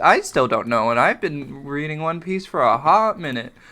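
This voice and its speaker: Noticeable noise lingers behind speech delivered at a moderate pace. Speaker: gaming YouTuber. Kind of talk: gameplay commentary. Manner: animated.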